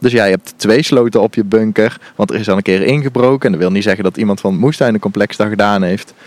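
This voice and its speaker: Fairly low for a man, this unremarkable speaking voice runs with hardly any pauses and ordinary pitch variation. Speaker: gardening podcast co-host. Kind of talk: casual chat during a garden tour. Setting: outdoors in an allotment garden.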